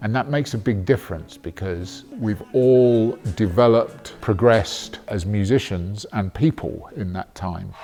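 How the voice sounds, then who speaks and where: A man speaks slowly-ish, at a fairly slow pace, with a British accent and a fairly low pitch. He barely pauses, his pitch varies in an ordinary way, and music plays in the background. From Britain. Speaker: rock musician. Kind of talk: documentary interview.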